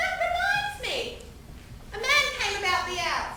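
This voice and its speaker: Putting on a squeaky character voice at an extremely high pitch, a woman speaks fairly slowly, with clear echo and clear background noise around her. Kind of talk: stage farce acting. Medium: stage play. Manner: chatty, homely, calls people love.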